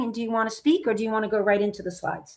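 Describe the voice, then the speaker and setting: A woman speaks at a fairly high pitch against a quiet background. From United States, Italian immigrant family. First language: Italian. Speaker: event business consultant. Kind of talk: webinar presentation.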